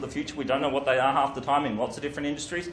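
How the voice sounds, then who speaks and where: Amid noticeable background noise and audible room echo, a fairly high-pitched man talks with ordinary pitch variation. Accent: Australian. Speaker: university lecturer. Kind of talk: lecture. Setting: home. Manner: fast.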